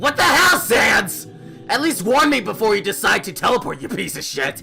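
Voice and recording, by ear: A put-on character voice at a moderate pace, raised and shouting, bright and sharp in tone with vocal fry and big pitch swings, faint music in the background.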